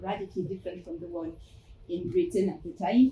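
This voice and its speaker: A woman's somewhat breathy voice carries a dark, mellow tone and very wide pitch swings. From France. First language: French. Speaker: fashion anthropologist and museum curator. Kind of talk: academic presentation. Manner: halting, many fillers.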